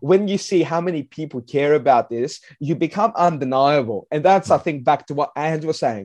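A man with an Australian accent and an animated tone, fairly high pitch, ordinary pitch variation, a moderate pace and hardly any pauses over a quiet background. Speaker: football writer. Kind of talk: casual chat.

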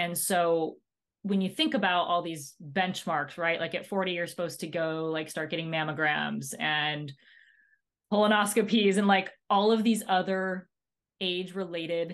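At a fairly slow pace, a woman with a normal speaking voice talks at a fairly low pitch with ordinary pitch variation over a quiet background. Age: 30s. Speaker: podcast co-host. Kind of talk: casual chat.

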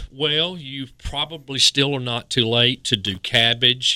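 With an eastern North Carolina accent, a man speaks in a bright, sharp tone with ordinary pitch variation, and the sound is dry and close with no echo. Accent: Southern, eastern North Carolina. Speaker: horticultural specialist. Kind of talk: radio call-in advice.

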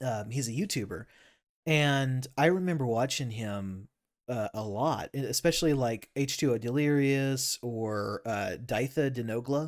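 The recording is very clean with a silent background as a man speaks slowly-ish, at a fairly slow pace, in a plain, everyday voice of medium pitch with ordinary pitch variation. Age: 30s. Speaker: podcast host. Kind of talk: casual chat.

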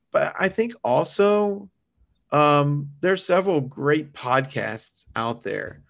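In a quiet setting, a speaker with an American accent talks very slowly with lively intonation. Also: man, fairly high pitch for a man. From US South. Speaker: church minister. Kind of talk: casual interview.

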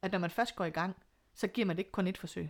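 A woman talks at a very fast pace and medium pitch. The recording is very clean, with a silent background. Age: 40s. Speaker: single mother by choice. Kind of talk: interview.

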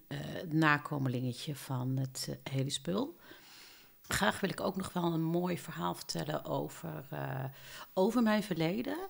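Very slowly, a woman speaks in a fairly low voice with vocal fry. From southern Netherlands, Eindhoven. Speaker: podcast co-host. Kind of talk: casual chat. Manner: halting.

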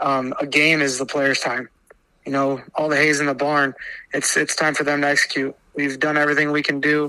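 A man with a Midwestern US accent talks at a fairly quick pace. His fairly high-pitched voice stays monotone and flat. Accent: US Midwest. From Iowa. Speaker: high school basketball coach. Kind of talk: casual interview.

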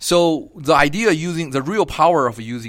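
A man speaks with a Chinese accent. His pitch varies in an ordinary way. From China, Beijing. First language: Mandarin Chinese. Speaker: geography professor. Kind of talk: interview. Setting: university campus. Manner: halting.

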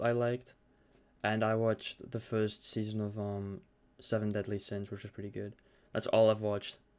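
Fairly low in pitch, a man talks at a fairly quick pace. The recording is very clean with a silent background. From Netherlands. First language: Dutch. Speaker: podcast host and streamer. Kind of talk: casual chat. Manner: hesitant, filler-heavy.

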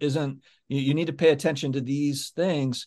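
Against a quiet background, a man with a plain, everyday voice talks at a moderate pace, fairly high in pitch and with fairly even intonation. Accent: American. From US South, Florida (childhood also in England). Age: 40s. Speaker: YouTuber on sports card collecting. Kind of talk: casual interview chat.

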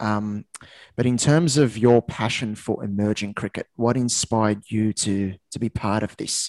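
A man speaks with a fairly low pitch at a fairly slow pace. His intonation stays fairly even. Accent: Australian. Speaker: podcast host. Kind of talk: podcast interview.

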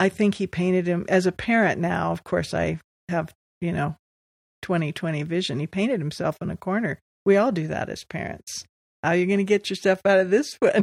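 A woman with an American accent speaks at medium pitch and a moderate pace, with ordinary pitch variation. It's an unremarkable speaking voice, recorded with a dry, close sound and no echo. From US West Coast, Los Angeles. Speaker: church member sharing faith story. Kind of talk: testimony. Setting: living room.

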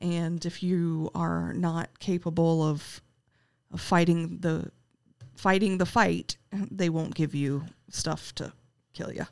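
A woman with an American accent speaks very slowly at a fairly low pitch. Her intonation is monotone and flat, with long, frequent pauses. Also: very clean recording, silent background. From US South, Richmond, Virginia. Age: 30s. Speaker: realtor and cancer patient. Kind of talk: casual interview. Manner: halting.

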